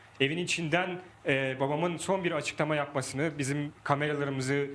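Talking at a fairly quick pace, a man uses a fairly high pitch and monotone, flat intonation. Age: 20s. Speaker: son of detained politician. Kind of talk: live phone testimony.

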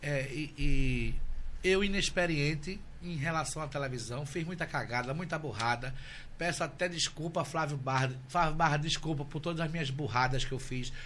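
In a room with audible echo, a man with a fairly high pitch and a bright, sharp tone speaks at a moderate pace with ordinary pitch variation. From Recife, Pernambuco, Brazil. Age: 40s. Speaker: social media influencer. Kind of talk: casual chat. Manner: animated.

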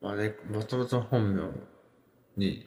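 A man's fairly low voice carries along at a moderate pace. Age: 20s. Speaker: podcast host. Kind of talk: casual monologue on music and internet culture. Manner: hesitant, many fillers.

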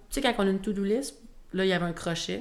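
A woman with a Quebec accent talks at a very fast pace in a medium pitch with ordinary pitch variation. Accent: Québécois. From Quebec, Shawinigan. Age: 20s. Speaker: sales representative. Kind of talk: casual chat.

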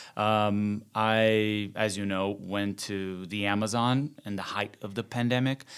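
A man's fairly low, monotone voice at a fairly slow pace, flat in intonation, on a very clean recording with a silent background. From Brazil. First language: Portuguese. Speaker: journalist and TV presenter. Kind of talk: casual interview conversation.

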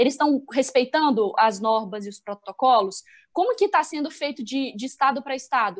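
A woman with a high pitch speaks at a fairly quick pace. Her intonation is lively, and her loudness swings widely. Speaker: sports journalist. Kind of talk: casual discussion. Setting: remote call.

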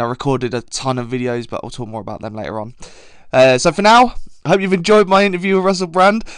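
A man with an English accent, very fast pace and very wide pitch swings. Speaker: podcast host. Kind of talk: casual chat.

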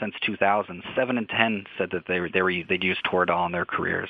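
Speaking at a fairly quick pace, a man has an ordinary speaking voice with a fairly low pitch and fairly even intonation. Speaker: newspaper reporter. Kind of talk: interview.

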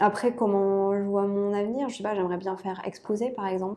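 At a fairly slow pace, a woman speaks at a medium pitch with a dark, mellow tone and fairly even intonation. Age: 30s. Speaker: aerospace engineer and watch illustrator. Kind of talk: casual interview. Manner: hesitant, with fillers.

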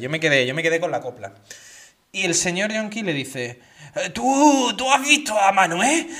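In an Andalusian accent, a man speaks at a moderate pace with very wide pitch swings. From Andalusia, Seville. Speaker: podcast co-host. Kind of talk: casual chat.

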